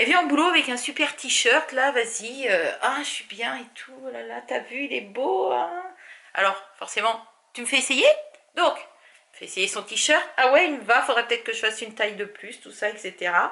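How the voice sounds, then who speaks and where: A woman talks at a moderate pace in a high, bright, sharp voice, her intonation lively and her loudness swinging widely. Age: 40s. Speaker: crafting vlogger. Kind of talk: casual vlog chat. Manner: chatty, many hesitations.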